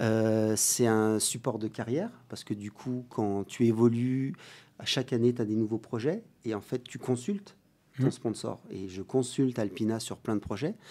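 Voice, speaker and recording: Over a very clean recording with a silent background, a man talks at a fairly slow pace. His tone is dark and mellow, with fairly even intonation. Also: medium pitch for a man. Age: 40s. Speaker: mountain sports athlete and brand ambassador. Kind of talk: interview.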